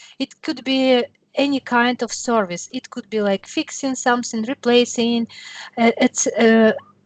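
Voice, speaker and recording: A woman's high voice with an English accent, at a moderate pace, in a dry, close sound with no echo. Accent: non-native English. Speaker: software demonstrator. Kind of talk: tutorial.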